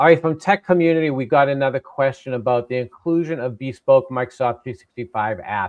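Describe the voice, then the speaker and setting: At a fairly quick pace, a man talks with a Boston accent. His medium pitch shows ordinary pitch variation. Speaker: tech session host. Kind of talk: live webinar Q&A.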